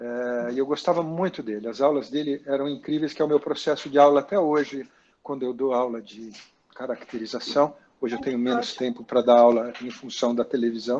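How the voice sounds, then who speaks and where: A man with an unremarkable speaking voice talks fast-ish, at a fairly quick pace, his medium pitch carried by fairly even intonation. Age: 60s. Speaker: actor and makeup artist. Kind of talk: interview about career. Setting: video call.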